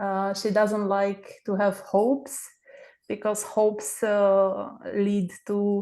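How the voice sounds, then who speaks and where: Spoken with a Romanian accent at a very slow pace, the dark, mellow voice keeps a monotone, flat intonation over a quiet background. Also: woman. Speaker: book club member. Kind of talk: casual chat. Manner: halting, many fillers.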